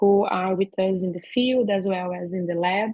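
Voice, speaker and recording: In a Brazilian accent, a woman speaks at medium pitch and a moderate pace with fairly even intonation. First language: Portuguese. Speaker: veterinary professor and researcher. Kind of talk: academic seminar talk. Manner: halting, many fillers.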